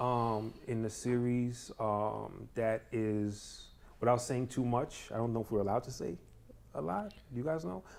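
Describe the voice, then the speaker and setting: This man speaks in a New York accent at medium pitch with ordinary pitch variation. His pace is fairly slow. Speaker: guest actor, former salesperson. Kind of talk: casual chat. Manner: hesitant, many fillers.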